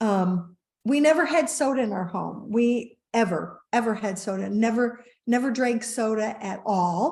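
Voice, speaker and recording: A woman speaks at a fairly high pitch and a fairly slow pace, somewhat breathy. Audible room echo surrounds her voice. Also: ordinary pitch variation. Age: 60s. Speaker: wellness company co-founder. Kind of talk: interview storytelling.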